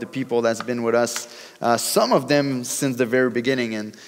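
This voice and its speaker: A man with a French accent, amid noticeable background noise. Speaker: pastor. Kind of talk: sermon. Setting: church. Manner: halting.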